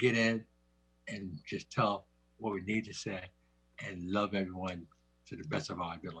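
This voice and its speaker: A man's somewhat breathy voice at a moderate pace. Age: 70s. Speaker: community member, veteran. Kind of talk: community forum remarks. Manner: halting.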